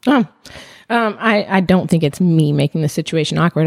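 Speaking at a moderate pace in a normal speaking voice, a woman with a fairly low pitch shows ordinary pitch variation in a dry, close sound with no echo. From US small town, born in Palestine. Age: 20s. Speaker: podcast guest. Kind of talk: casual chat.

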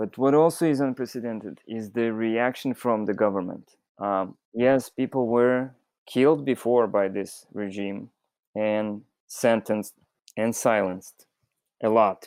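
In a very clean recording with a silent background, a man with a Russian accent speaks fairly slowly at a medium pitch with ordinary pitch variation. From Belarus, Minsk. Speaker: fisherman. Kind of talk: interview. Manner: halting.

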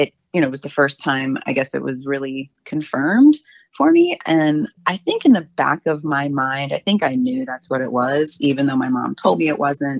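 A woman's very deep, low voice at a moderate pace, with ordinary pitch variation and a dry, close sound free of echo. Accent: American. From Baltimore County, Maryland. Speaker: interviewee sharing family story. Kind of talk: personal interview testimony.

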